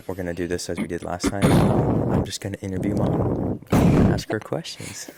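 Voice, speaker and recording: A man whispers quietly against noticeable background noise. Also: moderate pace. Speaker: father and vlogger. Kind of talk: casual chat. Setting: at home. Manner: whispering, quiet.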